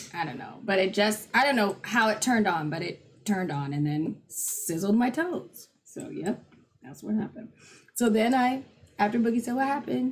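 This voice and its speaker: A loud woman's voice, fairly high in pitch, with vocal fry, very wide pitch swings and a moderate pace. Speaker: livestream co-host. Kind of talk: casual chat.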